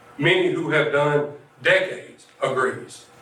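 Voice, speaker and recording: A man's voice over noticeable background noise. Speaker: incarcerated poet. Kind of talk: slam poetry performance.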